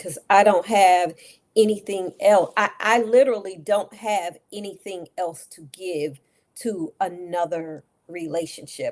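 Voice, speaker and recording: This is an unremarkable speaking voice, a woman's at medium pitch. She goes at a fairly slow pace with ordinary pitch variation. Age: 60s. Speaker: talk show co-host. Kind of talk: casual chat.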